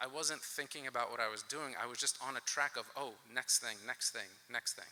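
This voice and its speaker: With an American accent, a man speaks in a normal speaking voice at a fairly quick pace, his medium pitch held in fairly even intonation. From US South, Alabama (Boaz). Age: 40s. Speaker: keynote speaker, plant scientist. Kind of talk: keynote speech.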